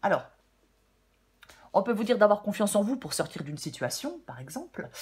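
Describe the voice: A woman speaks at a medium pitch with big pitch swings. Her tone is slightly mellow with a husky, rough edge. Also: moderate pace.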